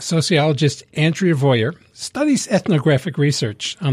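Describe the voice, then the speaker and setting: A man's somewhat breathy voice moves along fairly quickly, its pitch rising and falling in an ordinary way. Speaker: co-host and radio DJ. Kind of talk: casual chat. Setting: studio.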